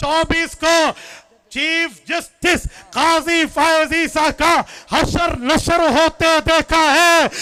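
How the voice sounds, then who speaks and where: This man talks in a raised, projected voice at an extremely high pitch, with a bright, sharp tone. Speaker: Islamic cleric. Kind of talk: religious rally speech. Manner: impassioned, oratorical.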